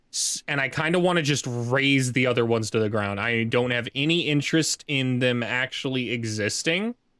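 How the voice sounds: This is a natural reading voice. It comes across as a natural reading voice throughout.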